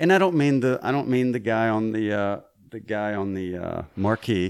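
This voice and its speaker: A man with a Southern US accent speaks at a moderate pace. The recording is very clean with a silent background. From Mississippi. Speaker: voice actor and Army veteran. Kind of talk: casual interview chat. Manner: halting with repetitions.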